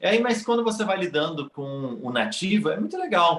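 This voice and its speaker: Noticeable background noise behind a male speaker, his pitch swinging very widely. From Brazil. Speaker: immigrant in Canada. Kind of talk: casual interview chat.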